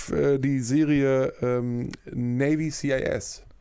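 A man's dark, mellow tone comes across on a very clean recording against a silent background. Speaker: podcast host. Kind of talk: casual chat. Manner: energetic, euphoric.

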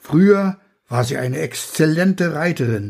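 This man's voice sits fairly high and is somewhat breathy. His intonation is lively. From Pomerania and Rügen. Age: 80s+. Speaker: author. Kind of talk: reading aloud.

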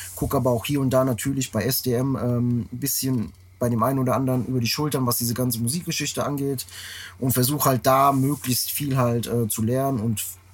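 Somewhat breathy, a man's voice sits at medium pitch and moves at a moderate pace. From Frankfurt, Germany. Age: 30s. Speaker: tour manager. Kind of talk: casual chat. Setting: tour bus.

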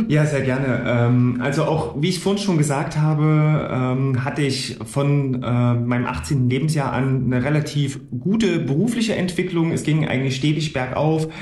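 Over noticeable background noise and audible room echo, a man talks at a fairly slow pace with a fairly high pitch, ordinary pitch variation and very even loudness. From Gera, Thuringia, eastern Germany. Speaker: financial broker. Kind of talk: interview. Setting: office.

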